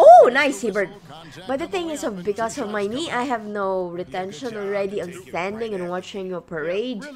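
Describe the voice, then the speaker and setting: Lively in intonation, a woman at medium pitch speaks at a moderate pace over noticeable background noise. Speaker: gaming YouTuber. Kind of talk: casual let's play commentary. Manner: rambling, hesitant with fillers.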